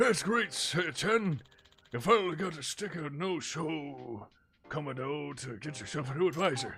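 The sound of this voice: A put-on character voice moves at a moderate pace with lively intonation. Its loudness swings widely. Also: man, fairly high pitch for a man.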